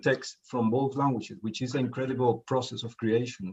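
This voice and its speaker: A man's medium-pitched, somewhat breathy voice with a Spanish accent, at a moderate pace. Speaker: poet. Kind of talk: interview. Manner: halting.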